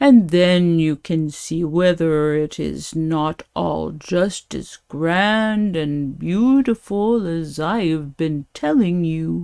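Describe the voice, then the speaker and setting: A woman speaks in a put-on character voice, pitched fairly low. Her pace is very slow, with hardly any pauses. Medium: read story. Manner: smooth-talking.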